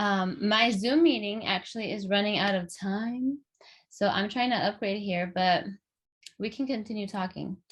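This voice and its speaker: A woman's somewhat breathy medium-pitched voice at a moderate pace, with ordinary pitch variation and a quiet background. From Los Angeles, US. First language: Spanish. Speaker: podcast host. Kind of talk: casual chat. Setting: video call. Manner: halting, many fillers.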